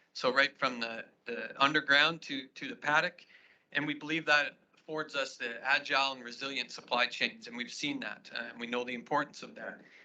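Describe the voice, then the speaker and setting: In a Canadian accent, a man talks at a moderate pace with a fairly high pitch, a bright, sharp tone, fairly even intonation and big swings in loudness. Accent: Canadian, noticeable to Australians. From Saskatchewan, Canada. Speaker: agribusiness executive. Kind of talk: conference presentation. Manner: halting, many repetitions and fillers.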